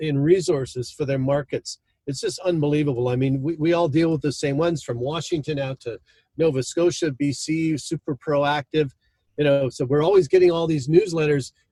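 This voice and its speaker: This man's fairly high voice is somewhat breathy, with ordinary pitch variation and a dry, close sound with no echo. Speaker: market management software founder and consultant. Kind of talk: podcast interview. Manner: hesitant, with fillers.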